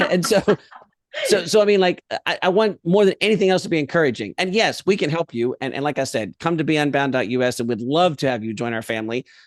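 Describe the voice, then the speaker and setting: A man with a fairly high voice talks at a very fast pace in an animated tone. His pitch swings very widely. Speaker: education professional. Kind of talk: podcast interview.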